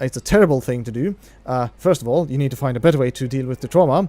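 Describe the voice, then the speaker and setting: A man with a Norwegian accent speaks very fast in a fairly high voice with a dark, mellow tone. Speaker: video game streamer. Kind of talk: casual live-stream commentary. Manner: halting.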